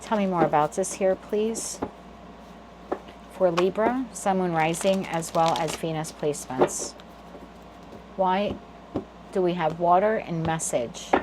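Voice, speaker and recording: With noticeable background noise, a woman speaks in a New Jersey accent at a fairly slow pace, her fairly low voice showing ordinary pitch variation and long, frequent pauses. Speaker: tarot reader. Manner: flaps T to D in "water".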